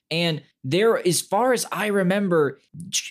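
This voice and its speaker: A man's high voice, very slow in pace, with ordinary pitch variation. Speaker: podcast co-host. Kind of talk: casual chat.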